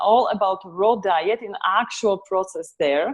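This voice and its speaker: A woman with a Polish accent speaks at a medium pitch and a fairly slow pace with ordinary pitch variation over a quiet background. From Poland. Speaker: author and raw food advocate. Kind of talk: interview. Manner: halting.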